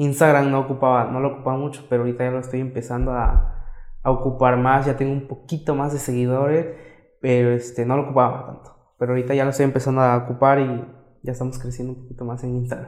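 Talking at a very fast pace, a man keeps a medium pitch with monotone, flat intonation. His loudness swings widely. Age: young. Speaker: makeup artist and entrepreneur. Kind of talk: casual interview.

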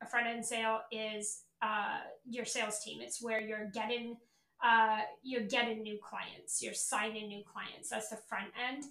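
Her bright, sharp voice sits fairly high for a woman and holds a monotone, flat intonation. Audible room echo surrounds the woman's speech. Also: fairly slow pace, big swings in loudness. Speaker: podcast host and sales coach. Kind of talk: casual monologue. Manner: casual with filler words.

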